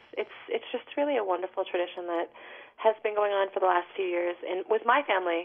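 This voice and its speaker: At a moderate pace, this unremarkable speaking voice shows ordinary pitch variation. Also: woman. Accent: American. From New York City. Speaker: singer-songwriter. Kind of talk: interview.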